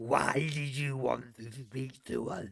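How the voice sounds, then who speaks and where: A growling, put-on character voice at a fairly slow pace. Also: man, medium pitch for a man. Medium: actual play. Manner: formal, calm.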